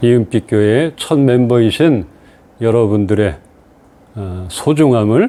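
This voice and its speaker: With ordinary pitch variation at a medium pitch, a man talks at a very slow pace. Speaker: pastor. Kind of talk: sermon.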